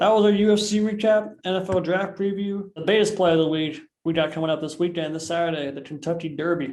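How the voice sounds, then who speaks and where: Talking very fast with hardly any pauses, a man speaks at a high pitch. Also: ordinary pitch variation. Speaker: podcast host. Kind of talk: casual chat. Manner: stutter and lisp.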